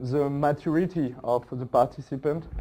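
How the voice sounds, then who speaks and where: With a French accent, a man talks in a dark, mellow tone at a fairly high pitch, his intonation fairly even. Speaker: agile coach and workshop facilitator. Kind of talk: conference talk. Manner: halting, many fillers.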